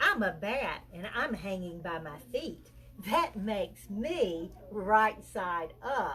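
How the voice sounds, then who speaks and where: In a put-on character voice at a middle pitch, someone speaks at a very slow pace over clear background noise. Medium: read story. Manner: loud.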